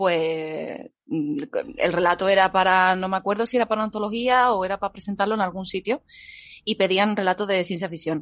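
With an Andalusian accent, a woman speaks at a medium pitch and moderate pace, her pitch varying in an ordinary way in a dry, close sound with no echo. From Andalusia, Seville. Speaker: fiction writer. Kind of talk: casual interview. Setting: livestream.

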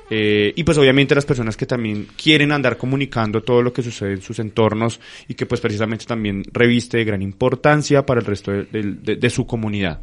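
A man talks at a fairly quick pace, his medium pitch showing ordinary variation. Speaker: radio host. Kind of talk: casual radio talk. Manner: halting, many fillers.

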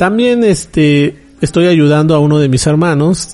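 A man with a Mexican accent, fairly high in pitch with ordinary variation, at a fairly slow pace. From Mexico. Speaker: podcast host, anime news site director. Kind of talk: casual solo podcast talk. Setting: recording alone at home.

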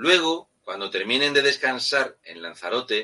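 The speaker has an animated tone and a fairly slow pace. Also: man. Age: 40s. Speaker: political commentator. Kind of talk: political talk show commentary.

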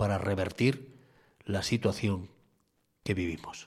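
A somewhat breathy man speaks in a very clean recording with a silent background. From Asturias, Spain (Cudillero). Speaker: radio host. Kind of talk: opinion editorial and talk radio.

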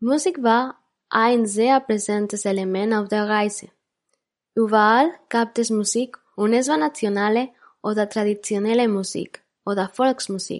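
In a Spanish accent, a woman speaks at a fairly slow pace and a fairly high pitch. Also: ordinary pitch variation, very even loudness. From Barcelona, Spain (born in Ecuador). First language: Spanish (speaking German). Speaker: podcast host. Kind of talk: scripted narration.

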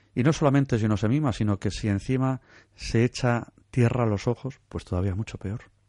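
Spoken at a fairly quick pace with ordinary pitch variation, the dark, mellow voice sounds dry and close with no echo against a quiet background. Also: man, medium pitch for a man. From Basque Country, Santurce (Bizkaia). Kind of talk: radio interview. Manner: hesitant, many fillers and repetitions.

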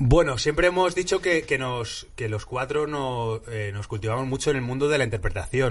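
Somewhat breathy and at medium pitch, a man talks at a fairly quick pace with lively intonation against a quiet background. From Madrid, Spain. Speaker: improv actor. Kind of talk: interview.

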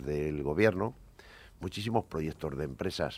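A man's lively intonation at a fairly slow pace. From Cantabria, Spain (Buelna). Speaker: former business executive. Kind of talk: radio panel debate.

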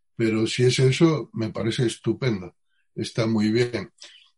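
Somewhat breathy, a man talks at a medium pitch and a fairly slow pace. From Andalusia, Spain (Utrera, Seville). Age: 60s. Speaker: Zen Buddhist teacher. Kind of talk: interview.

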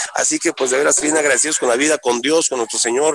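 A man speaks with a fairly high pitch. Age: 50s. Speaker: musician. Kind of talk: interview. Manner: halting.

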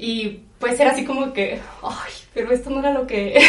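A woman with a high pitch and fairly even intonation is heard amid noticeable background noise and audible room echo. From Mexico. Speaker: podcast guest. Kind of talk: casual chat.

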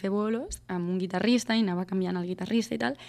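On a very clean recording with a silent background, a woman speaks very fast. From Catalonia, Vallès. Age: 20s. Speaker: singer-songwriter. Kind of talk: radio interview.

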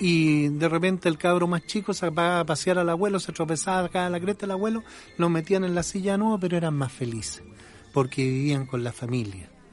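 The man's voice is high in pitch with ordinary variation. He talks at a fairly quick pace. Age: 60s. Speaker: opinion podcast host, journalist. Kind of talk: opinion monologue. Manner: animated.

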